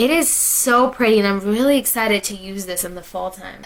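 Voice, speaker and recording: A woman talks while noticeable background noise sounds behind her. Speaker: beauty vlogger. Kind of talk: casual haul video talk. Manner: chatty, filler-heavy.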